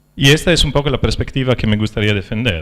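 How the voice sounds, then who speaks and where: A man with a non-native accent talks with vocal fry. His pitch is fairly low, with ordinary variation. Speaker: philosopher of science. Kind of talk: lecture. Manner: halting, many fillers.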